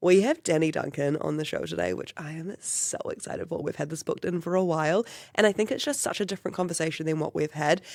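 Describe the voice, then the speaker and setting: With a New Zealand accent, the speaker rushes along at a very fast pace with hardly any pauses. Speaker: podcast host. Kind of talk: podcast intro and interview.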